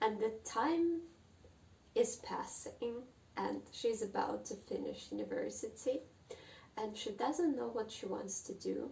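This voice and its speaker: A woman with a Russian accent talks at a fairly slow pace, leaving long, frequent pauses. There is audible room echo. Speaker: book vlogger. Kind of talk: casual monologue on literature. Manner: halting.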